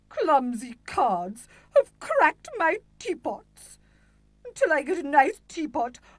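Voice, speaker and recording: A woman performs a put-on character voice at a high pitch with very wide pitch swings, at a fairly slow pace. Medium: video game. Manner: imperious, shouting.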